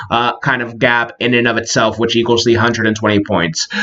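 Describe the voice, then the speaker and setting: A man speaks at a fairly quick pace over noticeable background noise. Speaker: college instructor. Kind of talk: lecture. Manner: fast; casual with many filler words.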